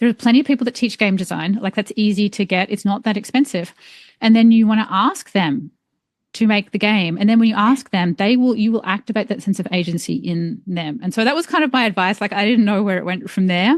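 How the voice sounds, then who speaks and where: A woman with an Australian accent speaks at a fairly quick pace and medium pitch, recorded dry and close with no echo. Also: ordinary pitch variation. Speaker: environmental engineer and author. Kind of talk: podcast interview. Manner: casual, filler-heavy.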